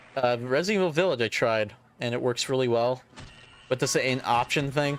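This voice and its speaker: A man is speaking. Music plays in the background. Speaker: video game streamer. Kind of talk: gameplay commentary. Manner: halting.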